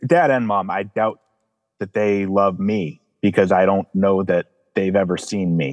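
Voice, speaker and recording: The sound is dry and close with no echo, carrying an unremarkable speaking voice. A man talks at a fairly slow pace in a fairly low pitch with ordinary pitch variation. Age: 30s. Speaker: counseling client. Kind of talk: emotional personal testimony.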